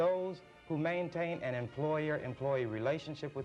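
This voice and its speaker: Over music in the background, a man speaks in a calm tone at a moderate pace with ordinary pitch variation. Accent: American. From Nebraska. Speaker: politician. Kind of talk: TV talk show guest. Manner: calm, even-toned.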